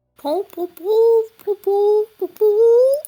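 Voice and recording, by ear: An extremely high-pitched, put-on character voice.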